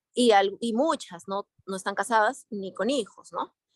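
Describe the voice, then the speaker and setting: A woman with a medium pitch and lively intonation. The sound is dry and close, with no echo. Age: 40s. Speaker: participant in a religious study group. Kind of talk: group discussion. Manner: halting.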